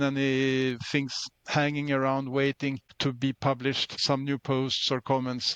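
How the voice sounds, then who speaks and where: A man with a Swedish accent speaks at a fairly slow pace, his pitch fairly high. The sound is dry and close, with no echo. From Sweden. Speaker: open-source volunteer contributor. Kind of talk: interview.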